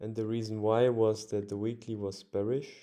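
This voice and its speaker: This man has a fairly low, dark and mellow voice with a non-native accent. He talks at a fairly slow pace in a monotone, flat way. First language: not English. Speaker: forex trader. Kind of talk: casual tutorial. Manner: halting, many fillers.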